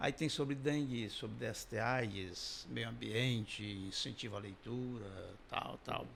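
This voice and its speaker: There is audible room echo as a man speaks fairly slowly at a medium pitch. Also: ordinary pitch variation. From Ceará, Brazil (Massapê, near Sobral). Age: 60s. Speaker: comedian. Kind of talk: interview.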